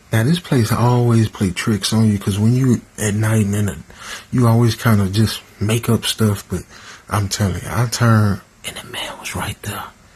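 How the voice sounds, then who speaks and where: A man's fairly low voice, fairly even in intonation and moderate in pace, with noticeable background noise. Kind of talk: sleep story / first-person horror narration. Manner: casual, conversational.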